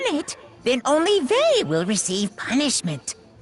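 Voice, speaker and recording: A female-sounding, high-pitched voice uses a put-on character voice. Clear music plays in the background. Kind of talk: playful villain voice acted by a player. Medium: game stream. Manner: cheery, theatrical, mocking.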